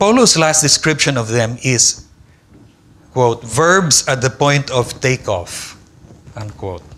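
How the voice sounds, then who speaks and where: A Filipino accent with lively intonation, a very slow pace and long, frequent pauses. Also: man, medium pitch for a man. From Philippines. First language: Tagalog. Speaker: philosophy professor. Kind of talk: lecture. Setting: conference hall with audience. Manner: formal.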